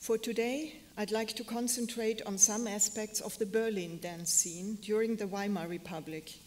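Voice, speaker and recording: Speaking at a moderate pace with a German accent, the voice shows ordinary pitch variation over noticeable background noise. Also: woman. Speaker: museum curator. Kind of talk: lecture.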